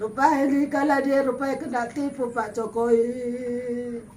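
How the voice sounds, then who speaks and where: A woman at a fairly slow pace with a fairly high pitch, monotone, flat intonation and audible room echo. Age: 60s. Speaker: grandmother in need. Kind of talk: emotional plea.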